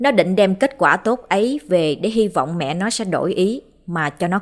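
What you hear is an unforced reading voice.

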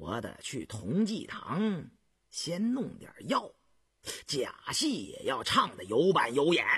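A man's put-on character voice, fairly high and fairly bright with a husky, rough edge, slow and full of very wide pitch swings, on a very clean recording with a silent background.

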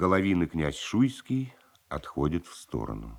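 Extremely low and full of vocal fry, a man's voice moves at a fairly slow pace with big pitch swings.

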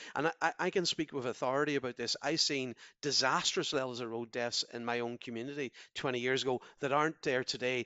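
With a Donegal accent, a man at medium pitch speaks at a fairly quick pace with hardly any pauses and fairly even intonation. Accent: Donegal Irish. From Ireland, Donegal. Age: 50s. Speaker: politician. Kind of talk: interview. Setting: phone line. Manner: halting, frequent repetitions.

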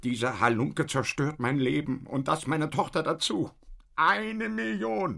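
With a bright, sharp tone and vocal fry, a man does a put-on character voice at a fairly high pitch and a fairly slow pace, showing ordinary pitch variation on a very clean recording with a silent background.

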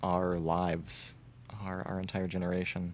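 Speaking fairly slowly, this man has a very deep, low voice. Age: 20s. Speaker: YouTuber and filmmaker. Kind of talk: casual chat.

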